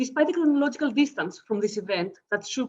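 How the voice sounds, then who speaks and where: A woman with a Greek accent speaks very fast, her intonation lively. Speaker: academic historian. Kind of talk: conference paper reading. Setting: video call.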